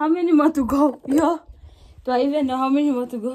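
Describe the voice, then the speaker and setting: Light background noise sits under a woman who talks at a moderate pace. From Namibia. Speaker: vlogger. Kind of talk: casual vlog narration. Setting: outdoors in a village. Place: farm machine. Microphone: phone near.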